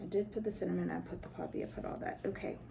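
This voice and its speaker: A woman's voice over noticeable background noise. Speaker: spiritual practitioner and video host. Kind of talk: tutorial. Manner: casual, hesitant with fillers.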